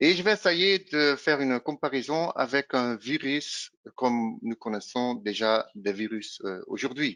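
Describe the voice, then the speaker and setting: In a Dutch accent, a man at a fairly high pitch speaks at a fairly slow pace with lively intonation and a bright, sharp tone, in a dry, close sound with no echo and a quiet background. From Flanders, Belgium. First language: Dutch (speaking French). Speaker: pre-sales engineer. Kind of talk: product presentation. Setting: virtual roadshow webinar. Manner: hesitant, frequent filler sounds.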